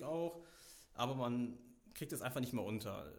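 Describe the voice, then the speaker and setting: A man speaks at a moderate speed, and the room gives his voice an audible echo. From Germany, Meckenheim near Bonn. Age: 20s. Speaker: youth volunteer leader in a relief organisation. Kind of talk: interview.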